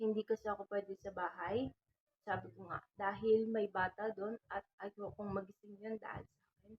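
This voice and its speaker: Soft-spoken and monotone, a woman talks at a moderate pace and medium pitch with flat intonation and big swings in loudness. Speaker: vlogger. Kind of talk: casual vlog talk. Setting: at home at night. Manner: halting.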